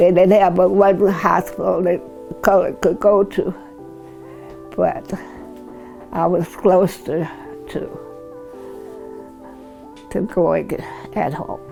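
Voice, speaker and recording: Very slow, with long, frequent pauses, a woman speaks in an American accent as music plays in the background. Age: 80s+. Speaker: community matriarch. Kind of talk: oral history interview answer.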